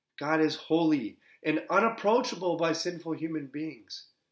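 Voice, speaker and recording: A man's fairly high voice at a fairly slow pace, with audible room echo and a quiet background. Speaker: Lutheran pastor. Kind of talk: sermon. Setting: pre-recorded, delivered from another location. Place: home room. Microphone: webcam.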